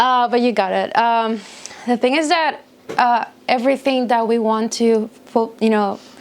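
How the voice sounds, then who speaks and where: A woman with a non-native accent speaks at a fairly slow pace in a fairly high pitch. Her intonation is fairly even and her loudness very even. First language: not English. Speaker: youth speaker on chastity. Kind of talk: talk to teens.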